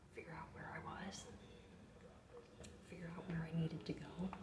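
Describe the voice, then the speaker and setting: Soft-spoken and whispering, a woman talks at a moderate pace amid audible room echo and noticeable background noise. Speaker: vlogger. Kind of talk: casual vlog. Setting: hotel room. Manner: whispering, soft.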